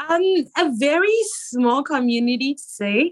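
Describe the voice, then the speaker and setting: Speaking with a Zimbabwean accent, a woman uses ordinary pitch variation. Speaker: actress, model and philanthropist. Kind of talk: interview.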